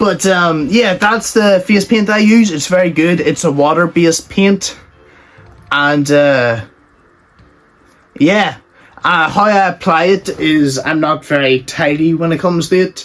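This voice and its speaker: Music plays in the background as a man speaks at a fairly slow pace with long, frequent pauses. His pitch is high, with ordinary pitch variation. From Ireland. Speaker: YouTuber answering fan questions. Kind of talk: casual Q&A monologue. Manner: casual, hesitant with fillers.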